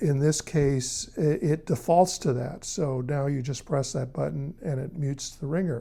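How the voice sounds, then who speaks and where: A man's fairly high, somewhat breathy voice with a dark, mellow tone and ordinary pitch variation, at a moderate pace, in a very clean recording with a silent background. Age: 70s. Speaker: tech reviewer. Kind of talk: tutorial. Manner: casual.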